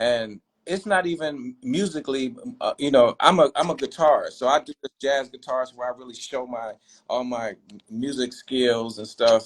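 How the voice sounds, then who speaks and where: In a plain, everyday voice, a man at medium pitch speaks with ordinary pitch variation and big swings in loudness, the sound dry and close with no echo. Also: moderate pace. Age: 60s. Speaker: jazz guitarist and musician. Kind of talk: casual interview chat.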